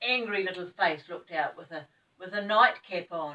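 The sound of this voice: A woman's bright, sharp voice, fairly low in pitch, at a fairly slow pace.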